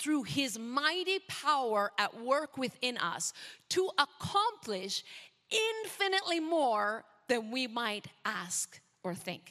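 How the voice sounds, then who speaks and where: With a slight Canadian accent, a woman speaks in a high pitch with very wide pitch swings and a bright, sharp tone. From Canada. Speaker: missionary preacher. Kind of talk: sermon. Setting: church.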